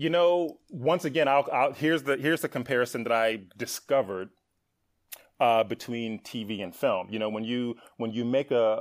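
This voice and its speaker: A man speaks in an ordinary speaking voice at a medium pitch. His pitch variation is ordinary. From US Midwest, Milwaukee, Wisconsin. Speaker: TV writer and producer. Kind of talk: podcast interview.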